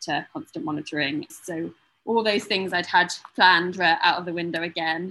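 Talking at a fairly quick pace, a woman speaks in a British accent. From UK. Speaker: new mother, film publicist. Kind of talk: interview, birth story.

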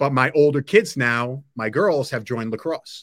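With a New York accent, a man speaks in a bright, sharp tone. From Long Island, New York. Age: 50s. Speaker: technology entrepreneur. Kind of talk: interview.

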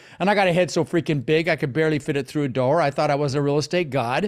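A man talks very fast in an animated tone. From Netherlands, moved to US at six. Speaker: real estate investor. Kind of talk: interview.

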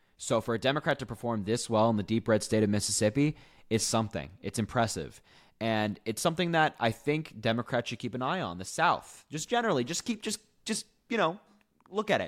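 A man talks at a fairly quick pace in an ordinary speaking voice, medium in pitch with lively intonation, on a dry, close sound with no echo. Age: 20s. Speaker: political podcast co-host. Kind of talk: casual political chat. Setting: video call.

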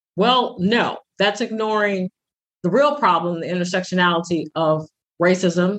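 A woman speaks in a plain, everyday voice at a moderate pace. Her pitch varies in an ordinary way. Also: dry, close sound with no echo. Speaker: pastor and podcast co-host. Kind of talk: casual podcast conversation.

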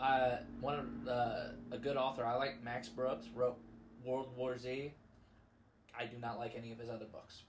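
A man with fairly even intonation and long, frequent pauses, music in the background and audible room echo. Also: medium pitch for a man, moderate pace. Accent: American. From US Midwest, Missouri (Festus). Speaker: podcast co-host. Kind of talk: casual chat.

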